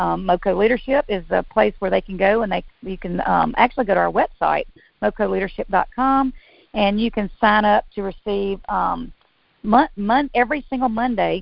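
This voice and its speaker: Speaking at a moderate pace, a woman of medium pitch shows vocal fry and ordinary pitch variation. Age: 50s. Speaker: physical therapist and business owner. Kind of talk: interview.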